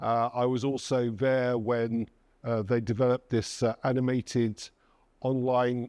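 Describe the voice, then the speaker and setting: A man's medium-pitched voice in a dark, mellow tone, dry and close with no echo, over a quiet background. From England. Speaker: cybersecurity presenter from software company. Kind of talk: conference presentation. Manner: hesitant, many fillers.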